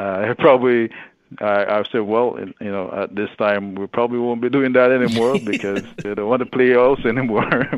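A man with a plain, everyday voice, medium pitch, fairly even intonation and moderate pace. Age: 40s. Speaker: podcast guest, father, former city council candidate. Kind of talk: casual interview answer.

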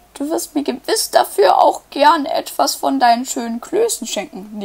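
A woman uses a put-on character voice with a high pitch at a moderate pace. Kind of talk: bedtime story. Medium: read story. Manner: eager, brisk.

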